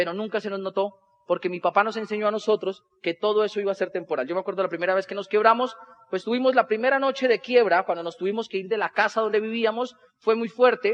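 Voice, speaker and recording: A man talks at a very fast pace in a high pitch. His pitch varies in an ordinary way. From Colombia, Boyacá. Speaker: motivational speaker, network marketer. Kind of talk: motivational talk on stage. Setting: stage with audience.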